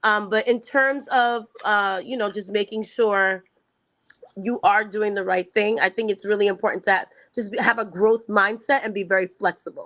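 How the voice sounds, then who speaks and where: Against a quiet background, a woman with a New York accent speaks at a moderate pace and a fairly high pitch, with fairly even intonation. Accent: New York American. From US, New York (Long Island). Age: 40s. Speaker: educator and education consultant. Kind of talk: interview. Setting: video call.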